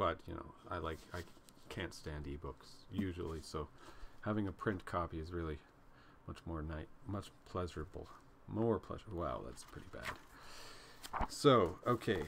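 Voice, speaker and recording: Over noticeable background noise, a man with a very deep, low pitch talks at a fairly slow pace, with ordinary pitch variation and big swings in loudness. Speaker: book reader, commentator. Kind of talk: casual vlog chat. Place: home room. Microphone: webcam.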